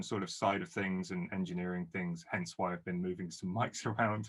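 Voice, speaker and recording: A man with a southern English accent talks at a moderate pace in a very deep, low voice with fairly even intonation. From southern England. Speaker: guitarist and producer. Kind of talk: casual chat.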